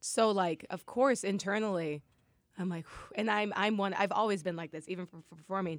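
Talking at a fairly quick pace, a woman uses an ordinary speaking voice with an American accent. Her pitch variation is ordinary, while her loudness swings widely. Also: medium pitch for a woman. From US Midwest, Nebraska (Lincoln). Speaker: amateur boxer, former musical theater performer. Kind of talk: casual interview chat.

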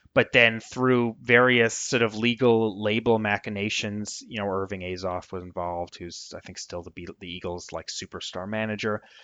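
A man with a normal speaking voice and an American accent talks at a moderate pace, his pitch fairly low and his intonation fairly even. His loudness swings widely, and he hardly pauses at all. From Vermont. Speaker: music blogger and author. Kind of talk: interview.

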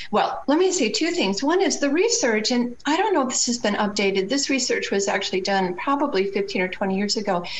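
A woman speaks in a high pitch with very wide swings in pitch, her loudness very even against noticeable background noise. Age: 60s. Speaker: co-parenting expert and author. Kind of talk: interview conversation. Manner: animated.

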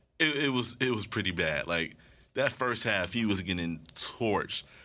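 Recorded very cleanly against a silent background, a man speaks in a bright, sharp tone with vocal fry. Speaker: sports podcaster. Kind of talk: casual sports podcast rant. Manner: animated, passionate, ranting.

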